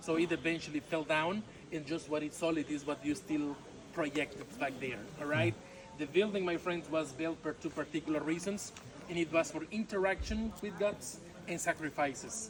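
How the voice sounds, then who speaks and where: Noticeable background noise sits behind a man with a Mexican accent. His fairly high voice has ordinary pitch variation. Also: moderate pace. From Yucatan, Mexico. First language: Yucatec Maya. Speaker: tour guide. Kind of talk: guided tour talk. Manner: halting with filler words.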